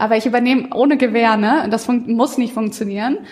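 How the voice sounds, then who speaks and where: Noticeable background noise accompanies a woman whose voice sits at a fairly high pitch. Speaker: marketing working student. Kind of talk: casual chat.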